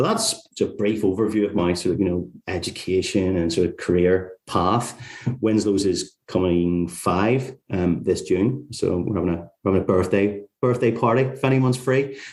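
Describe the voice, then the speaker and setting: Against a quiet background, a man with a Northern Irish accent speaks at a moderate pace, his fairly low pitch showing ordinary pitch variation. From Northern Ireland, Carrickfergus near Belfast. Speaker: tax lawyer, firm founder. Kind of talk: interview.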